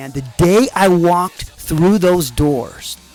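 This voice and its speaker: Against music in the background, a man speaks in an American accent. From Arizona, USA. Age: 50s. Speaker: army veteran. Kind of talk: personal memoir storytelling. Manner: casual, conversational.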